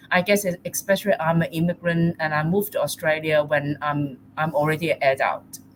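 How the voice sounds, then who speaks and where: Speaking with hardly any pauses, a woman uses a very deep, low pitch, a somewhat breathy sound and fairly even intonation. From Hong Kong. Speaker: artist. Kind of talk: panel discussion. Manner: halting.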